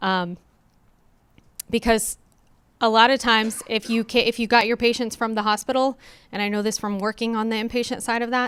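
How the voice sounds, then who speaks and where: In a very clean recording with a silent background, the voice moves at a fairly quick pace with monotone, flat intonation and long, frequent pauses. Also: woman, fairly high pitch for a woman. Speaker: pharmacy benefit presenter. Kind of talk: conference presentation. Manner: fast.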